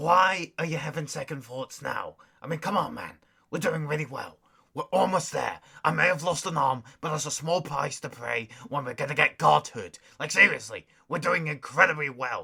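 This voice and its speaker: A man uses a put-on character voice at a fairly high pitch. He keeps a moderate pace. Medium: audio drama. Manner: casual, slangy.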